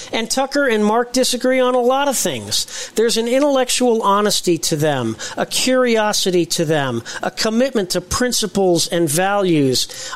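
A man speaks with a high pitch and an American accent, his intonation lively. Noticeable background noise runs behind him. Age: 60s. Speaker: political podcast co-host. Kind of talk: political talk show discussion.

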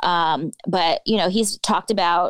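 A woman with an American accent speaks in an ordinary speaking voice, medium in pitch and fairly even in intonation. The sound is dry and close, with no echo. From California Bay Area. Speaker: county commissioner candidate, politician. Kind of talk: interview. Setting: remote virtual call.

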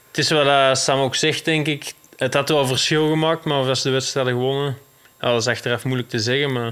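At a fairly quick pace, a man with a Belgian accent speaks at a medium pitch, in a monotone, flat intonation with very even loudness. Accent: more Belgian than Dutch. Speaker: cyclocross rider. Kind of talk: casual chat.

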